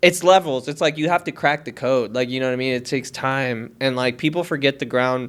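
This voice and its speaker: A man's medium-pitched voice with ordinary pitch variation, fairly quick and with hardly any pauses, on a very clean recording with a silent background. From Las Vegas, Nevada, US. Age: 30s. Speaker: podcast host. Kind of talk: casual chat. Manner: animated.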